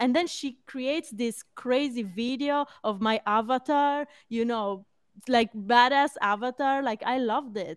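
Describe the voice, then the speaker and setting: At a fairly slow pace, a woman with a non-native accent speaks in a high pitch. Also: dry, close sound with no echo. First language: not English. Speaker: podcast co-host. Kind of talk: casual chat.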